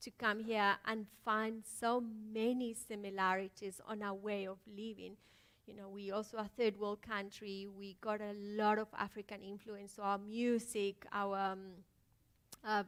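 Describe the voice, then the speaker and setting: Fairly slow, monotone speech with flat intonation in a Spanish accent, with big swings in loudness. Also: woman, medium pitch for a woman. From Colombia. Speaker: filmmaker. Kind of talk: panel talk. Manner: halting.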